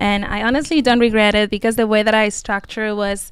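An unremarkable speaking voice at a fairly quick pace, in a very clean recording with a silent background. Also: woman. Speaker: medical student. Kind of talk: casual panel interview.

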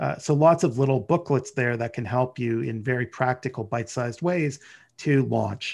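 Against a quiet background, a man with a Canadian accent uses an ordinary speaking voice at medium pitch, moderate pace and ordinary pitch variation. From Canada, Ottawa. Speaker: lawyer, risk management manager. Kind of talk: interview.

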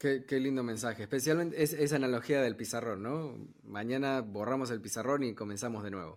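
At a fairly quick pace, a man with an unremarkable speaking voice talks at a medium pitch with ordinary pitch variation. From Argentina, moved to New York at 15. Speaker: podcast host. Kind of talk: interview.

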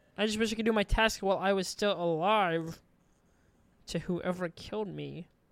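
With an ordinary speaking voice, a woman talks at a moderate pace and medium pitch, her intonation fairly even. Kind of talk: casual chat.

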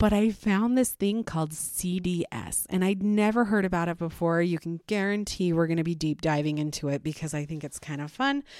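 A woman speaks at a moderate pace and fairly low pitch, her tone animated and her intonation lively. The sound is dry and close with no echo, in a very clean recording with a silent background. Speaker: podcast host, parent. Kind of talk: solo monologue podcast.

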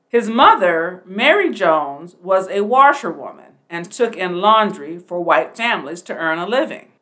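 Using lively intonation, a woman of medium pitch speaks fairly slowly with an American accent in a bright, sharp tone. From US Pacific Northwest, Portland, Oregon. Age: 60s. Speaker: podcast host, retired army nurse and educator. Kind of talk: educational monologue.

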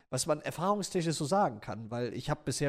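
A man with a plain, everyday voice speaks at a fairly quick pace with lively intonation, on a very clean recording with a silent background. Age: 20s. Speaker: YouTuber. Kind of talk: casual chat.

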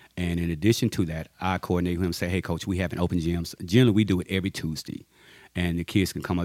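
Speech in a Louisiana accent races along at a very fast pace with flat, monotone intonation. The recording is very clean, with a silent background. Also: man. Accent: Southern US (Louisiana). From Louisiana, US South (Ruston). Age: 50s. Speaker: junior high basketball coach and army veteran. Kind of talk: interview.

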